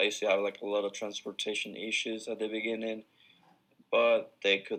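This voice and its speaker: A man speaks with a Spanish accent. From Ecuador. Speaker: university student athlete. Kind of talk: class presentation.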